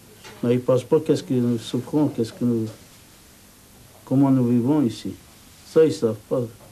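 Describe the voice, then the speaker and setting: This man's voice sits at a medium pitch with ordinary variation. Background noise is noticeable. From Turkey. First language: Turkish (speaking French). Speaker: immigrant worker interviewee. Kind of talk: documentary interview.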